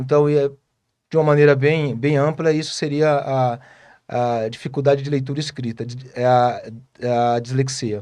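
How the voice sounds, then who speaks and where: With a dark, mellow tone and a fairly high pitch, a man talks at a moderate pace with fairly even intonation. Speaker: speech therapist. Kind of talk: interview. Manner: halting.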